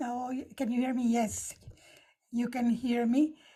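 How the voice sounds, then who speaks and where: Heard on a very clean recording with a silent background, a woman has a dark, mellow tone and a Spanish accent. She talks at a fairly slow pace. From Nicaragua. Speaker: stand-up comedian. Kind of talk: prepared opening remarks with jokes.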